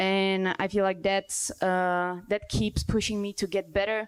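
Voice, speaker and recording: A woman with a Czech accent speaks at a medium pitch in a monotone, flat intonation. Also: very clean recording, silent background. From Czech Republic. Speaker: dancer and choreographer. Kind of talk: panel discussion.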